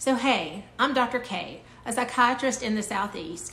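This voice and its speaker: A woman in a room with audible echo and light background noise. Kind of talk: educational talk to camera. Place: home room. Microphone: phone near.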